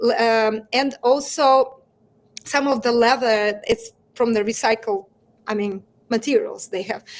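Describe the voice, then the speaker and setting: With a Russian accent, a woman speaks high in pitch and with fairly even intonation, leaving long, frequent pauses. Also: fairly slow pace. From Russia, Moscow. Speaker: entrepreneur. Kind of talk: interview. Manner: halting.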